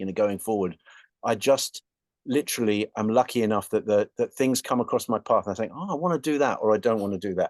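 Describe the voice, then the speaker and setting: A man with an English accent and ordinary pitch variation, in a dry, close sound with no echo over a quiet background. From England. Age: 60s. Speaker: rock guitarist. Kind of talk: interview. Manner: halting.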